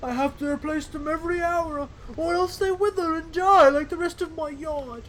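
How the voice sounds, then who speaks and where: A man puts on a character voice at an extremely high pitch. He speaks at a moderate pace over clear background noise. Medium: game stream. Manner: folksy, rambling.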